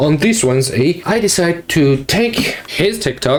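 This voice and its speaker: Amid noticeable background noise, a man with a fairly high voice speaks at a very slow pace with lively intonation. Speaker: art YouTuber. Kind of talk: casual vlog commentary. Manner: halting, self-correcting.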